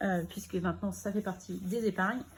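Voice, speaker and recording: A woman speaks at a medium pitch, somewhat breathy. Her intonation stays fairly even. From Normandy, France. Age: 30s. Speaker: budgeting vlogger. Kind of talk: casual chat.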